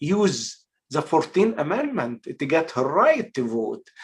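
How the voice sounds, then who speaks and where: A man with an Egyptian accent, very slow pace and lively intonation. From Egypt, Port Said. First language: Arabic. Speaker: actor and filmmaker. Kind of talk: casual interview. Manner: halting, many fillers.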